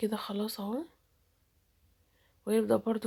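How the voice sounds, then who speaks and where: Fairly high-pitched female voice, somewhat breathy with a dark, mellow tone, at a moderate pace on a very clean recording with a silent background. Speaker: YouTuber. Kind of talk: vlog narration.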